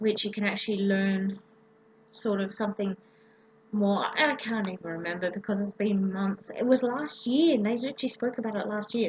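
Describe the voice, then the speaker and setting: Over noticeable background noise, a woman with an Australian accent talks at a moderate pace, her fairly high pitch rising and falling in an ordinary way. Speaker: vlogger. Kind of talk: casual vlog. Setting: home, late at night. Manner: hesitant, many ums. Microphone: laptop microphone.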